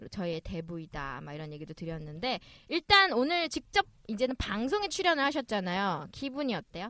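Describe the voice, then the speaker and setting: Speaking at a fairly quick pace, a woman's medium-pitched, bright and sharp voice shows very wide pitch swings and big swings in loudness, with a dry, close sound with no echo. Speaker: podcast host. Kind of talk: casual chat.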